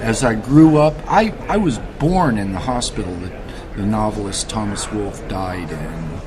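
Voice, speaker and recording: A man with an American accent speaks at a fairly slow pace in a fairly low pitch, his intonation lively. The room echo is audible and background noise is noticeable. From US East Coast, Baltimore, Maryland. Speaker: antiquarian bookseller. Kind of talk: interview. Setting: book fair. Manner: halting, repeats words.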